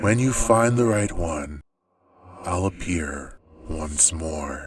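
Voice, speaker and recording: A man's put-on character voice, very deep and low, with lively intonation at a very slow pace. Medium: read story. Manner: ominous, cryptic.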